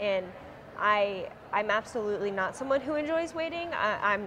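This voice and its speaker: Her voice sits at a fairly high pitch with lively intonation. The woman is heard over noticeable background noise. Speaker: conference attendee. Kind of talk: interview answers. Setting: conference venue.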